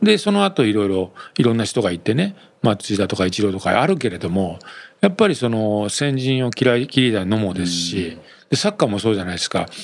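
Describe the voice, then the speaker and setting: Speaking at a fairly quick pace, a man has a plain, everyday voice, fairly low in pitch, with ordinary pitch variation. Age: 50s. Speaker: company executive, entrepreneur. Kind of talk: interview.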